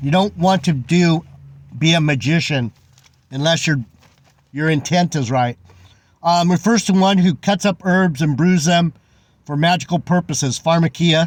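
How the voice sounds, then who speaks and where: Speaking at a moderate pace with long, frequent pauses, a man with a high pitch keeps his loudness very even and his pitch variation ordinary. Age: 60s. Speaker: religious vlogger. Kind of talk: casual Bible commentary monologue. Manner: halting, many fillers and repeats.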